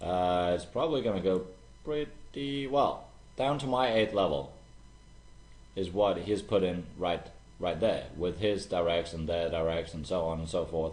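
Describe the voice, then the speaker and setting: Music plays behind a man with a very deep, low voice and a non-native accent. He speaks at a fairly slow pace with lively intonation, and room echo is audible. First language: not English. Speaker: online marketer. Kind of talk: screen-share tutorial. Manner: casual, repetitive.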